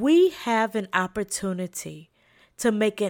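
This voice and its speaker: A woman with a slight Southern US accent and medium pitch speaks at a very slow pace. The recording is very clean with a silent background, and the sound is dry and close with no echo. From South Carolina, US South. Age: 40s. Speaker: podcast host, leadership trainer and social worker. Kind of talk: inspirational solo talk.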